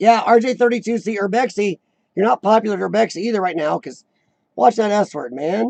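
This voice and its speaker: Speaking at a fairly quick pace, a man uses a high-pitched, squeaky voice with a dark, mellow tone and lively intonation. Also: dry, close sound with no echo. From rural farm country. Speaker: live-stream chat host. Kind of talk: casual live chat reading viewer comments.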